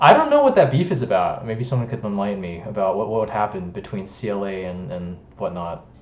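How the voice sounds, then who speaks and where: Noticeable background noise and audible room echo surround a man whose fairly low pitch shows ordinary variation. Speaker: music producer streamer. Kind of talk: live stream chat. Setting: live stream. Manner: fast.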